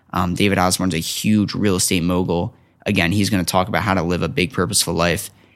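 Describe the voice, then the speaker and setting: Speaking at a very fast pace with very even loudness, a man with a very deep, low pitch talks in an American accent. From New Jersey. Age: young. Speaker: student entrepreneur. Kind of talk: casual interview chat. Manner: animated.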